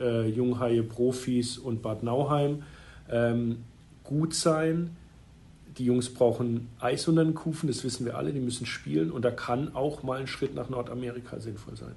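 A man with a dark, mellow, somewhat breathy voice of medium pitch speaks at a fairly slow pace with ordinary pitch variation, and the room echo is audible. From Freiburg, southwest Germany. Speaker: ice hockey club managing director. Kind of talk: interview.

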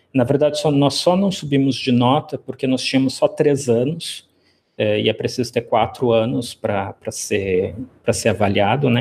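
A man speaks in a somewhat breathy voice. His loudness stays very even. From Brazil, Rio Grande do Sul (Rio Grande). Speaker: professor of classics. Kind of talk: interview.

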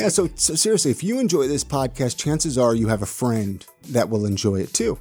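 Music plays behind the voice. The talking moves at a fairly quick pace. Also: man, medium pitch for a man, lively intonation. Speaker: podcast host. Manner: announcer-like delivery.

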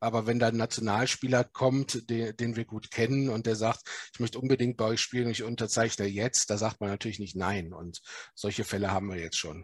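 A man's plain, everyday voice at a medium pitch, fairly quick in pace, with fairly even intonation, dry, close sound with no echo, and a quiet background. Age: 40s. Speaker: lawyer and football club executive. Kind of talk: podcast interview.

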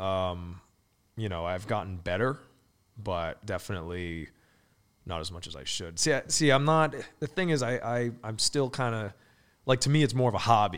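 A man's fairly low voice at a moderate pace, with lively intonation, big swings in loudness and long, frequent pauses, in a very clean recording with a silent background. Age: 20s. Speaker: real estate agent and investor. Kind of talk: casual chat.

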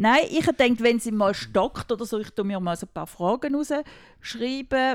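On a very clean recording with a silent background, a woman with an unremarkable speaking voice and a fairly high pitch speaks fairly slowly with hardly any pauses. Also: ordinary pitch variation. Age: 50s. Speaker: mother of the hosts. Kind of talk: casual chat.

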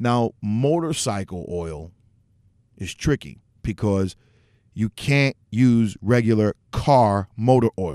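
This man talks at a very slow pace in a medium pitch, his tone dark and mellow with lively intonation. The recording is very clean over a silent background. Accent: American. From New York City. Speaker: motorcycle podcast host. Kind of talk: casual solo talk show. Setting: home studio, livestream.

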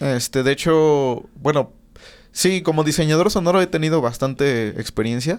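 In a very clean recording with a silent background, a man with a plain, everyday voice speaks at a moderate pace, fairly high in pitch with ordinary pitch variation and very even loudness. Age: 20s. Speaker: audio engineer. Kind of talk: casual chat. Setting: studio.

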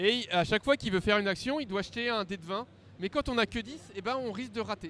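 On a very clean recording with a silent background, a man with an extremely high pitch and a bright, sharp tone talks at a very fast pace with ordinary pitch variation. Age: 40s. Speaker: tabletop role-playing game designer. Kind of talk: casual interview.

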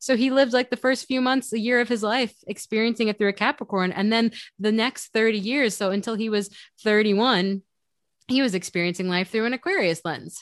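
With an American accent, a plain, everyday voice talks at a fairly quick pace, sounding dry and close with no echo over a quiet background. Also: woman, fairly high pitch for a woman, ordinary pitch variation. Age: 30s. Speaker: podcast host, astrology. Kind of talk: casual chat.

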